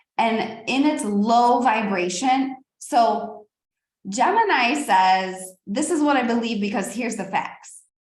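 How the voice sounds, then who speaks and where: Audible room echo fills the space. Within it, a woman talks in an animated tone. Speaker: astrologer and spiritual teacher. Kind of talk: spiritual teaching monologue.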